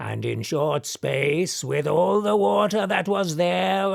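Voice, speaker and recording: A man puts on a character voice at a fairly high pitch. The recording is very clean, with a silent background. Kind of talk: poetic verse drama reading. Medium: audio drama. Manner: solemn, archaic.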